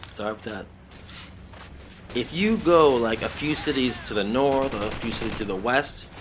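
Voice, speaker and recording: With a Boston accent, a man speaks at medium pitch and a moderate pace with lively intonation. He takes long, frequent pauses. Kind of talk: gaming commentary. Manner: casual, rambling, profane.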